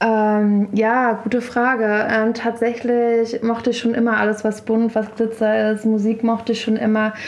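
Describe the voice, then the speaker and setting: Over noticeable background noise, a woman speaks in a fairly high voice with very even loudness and monotone, flat intonation. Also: fairly slow pace. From Berlin and Brandenburg, Germany. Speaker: DJ and festival co-founder. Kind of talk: casual interview.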